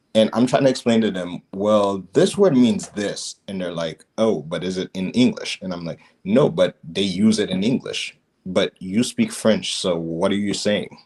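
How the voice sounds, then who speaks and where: With ordinary pitch variation, a man's voice sits at a fairly low pitch. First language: not English (English is his third language). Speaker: podcast co-host. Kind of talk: casual chat.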